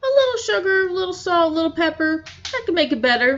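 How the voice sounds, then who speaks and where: Doing a put-on character voice, a woman speaks very fast in an extremely high, squeaky pitch with very wide pitch swings. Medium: read story. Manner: folksy, wry, coaxing.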